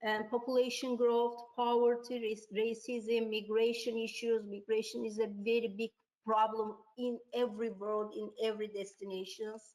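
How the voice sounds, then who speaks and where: A woman speaks with a Turkish accent. Her pitch is fairly high and her pace moderate. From Turkey. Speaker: tourism researcher. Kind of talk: webinar presentation. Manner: halting.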